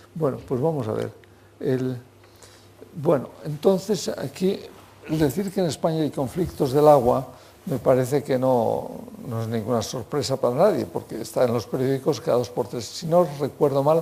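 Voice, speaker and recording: A man talks at a moderate pace with a medium pitch and lively intonation. Background noise is noticeable. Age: 80s+. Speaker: hydrology professor. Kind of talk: lecture. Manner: halting, with many fillers.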